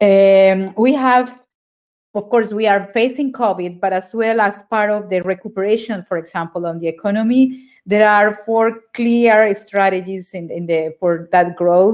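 With a Spanish accent, a woman speaks at a fairly slow pace in a medium pitch with ordinary pitch variation, recorded very cleanly against a silent background. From Colombia, Neiva (Huila). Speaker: ambassador. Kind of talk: interview.

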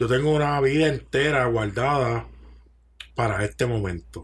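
Speaking at a fairly slow pace with a Puerto Rican accent, a man uses a medium pitch with ordinary pitch variation and a somewhat breathy sound. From Puerto Rico. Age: 40s. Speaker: chef. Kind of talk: casual chat.

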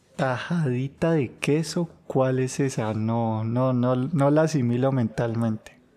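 This man has a dark, mellow tone and a medium pitch, talking at a very slow pace with hardly any pauses, very even loudness and ordinary pitch variation. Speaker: podcast co-host. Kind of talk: casual chat.

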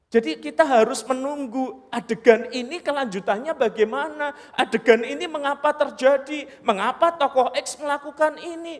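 A man's animated voice at an extremely high pitch, moderate pace, ordinary pitch variation and big swings in loudness, with noticeable background noise. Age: 40s. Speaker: preacher. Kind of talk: sermon.

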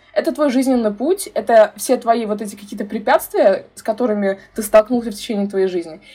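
A woman with an unremarkable speaking voice, fairly high pitch, ordinary pitch variation, a fairly quick pace and hardly any pauses. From Uzbekistan, Tashkent. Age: 20s. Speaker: youth activist and brand ambassador. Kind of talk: casual interview.

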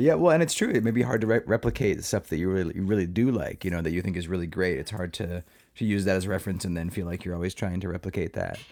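A man's very deep, low voice at a very fast pace, with hardly any pauses. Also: ordinary pitch variation. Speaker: film festival programmer and podcast host. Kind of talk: interview.

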